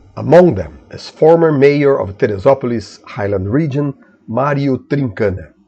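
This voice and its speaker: The voice has a dark, mellow tone and a Portuguese accent. It moves at a moderate pace with lively intonation. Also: man, medium pitch for a man. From Brazil. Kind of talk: news bulletin read.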